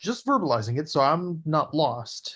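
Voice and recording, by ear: Slipping into a put-on character voice, a man speaks at a fairly slow pace with a fairly bright tone, fairly high pitch and big pitch swings.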